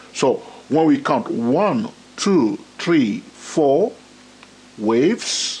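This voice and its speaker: A man's fairly high voice with very wide pitch swings. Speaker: trading educator. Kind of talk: tutorial. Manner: slow; frequent fillers.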